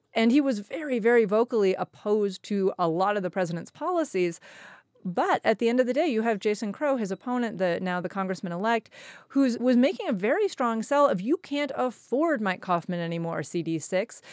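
An ordinary speaking voice moves at a fairly quick pace with lively intonation. The recording is very clean, with a silent background and a dry, close sound with no echo. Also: woman, fairly high pitch for a woman. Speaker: public affairs editor. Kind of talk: panel discussion.

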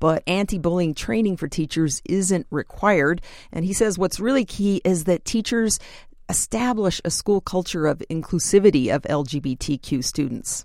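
A woman's normal speaking voice, fairly low in pitch, with lively intonation at a moderate pace. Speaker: education reporter. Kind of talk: radio interview.

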